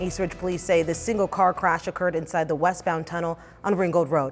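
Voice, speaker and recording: Music plays in the background as a woman with an American accent talks at a very fast pace. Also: fairly low pitch for a woman. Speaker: TV news anchor and reporter. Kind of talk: news anchor and field reporter delivery. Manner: upbeat, outgoing, relatable.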